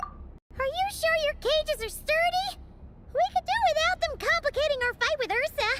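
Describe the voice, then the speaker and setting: Using a put-on character voice, the speaker talks at a moderate pace with extremely high pitch. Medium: video game.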